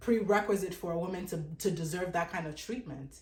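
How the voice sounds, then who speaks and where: Somewhat breathy and at medium pitch, a woman speaks at a fairly quick pace with ordinary pitch variation, and room echo is audible. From Africa. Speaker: dating commentator. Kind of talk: opinion monologue. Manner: emphatic, repetitive.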